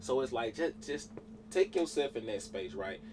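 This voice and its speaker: Noticeable background noise sits behind a man talking at a very fast pace. His pitch varies in an ordinary way. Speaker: entrepreneur. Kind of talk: interview.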